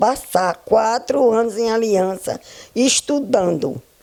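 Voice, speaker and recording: A woman is speaking. She goes at a very slow pace. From Pernambuco, northeast Brazil. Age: 90s. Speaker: retired schoolteacher. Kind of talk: oral history interview. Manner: halting.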